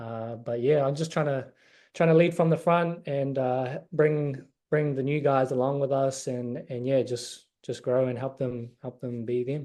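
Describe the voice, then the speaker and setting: Over a quiet background, a man with a New Zealand accent speaks at a fairly slow pace in a medium pitch, his tone dark and mellow and his intonation fairly even. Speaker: college basketball player. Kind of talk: interview.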